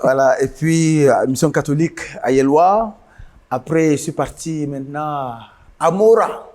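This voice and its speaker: A man with a fairly high pitch speaks at a very slow pace, leaving long, frequent pauses. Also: ordinary pitch variation. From northern Cameroon, Mayo-Louti. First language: Guidar (speaking French). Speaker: musician. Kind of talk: interview.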